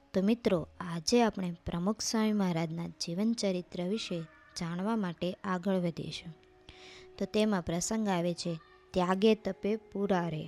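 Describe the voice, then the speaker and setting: Music plays in the background as a woman speaks. Her pitch is medium and her intonation fairly even. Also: dry, close sound with no echo. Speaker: narrator of a religious life story. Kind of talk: devotional biography narration.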